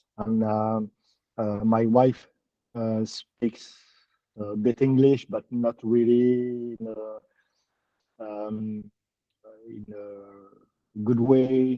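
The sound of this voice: With long, frequent pauses, a man talks at a very slow pace in a medium pitch, his intonation lively and the sound dry and close with no echo.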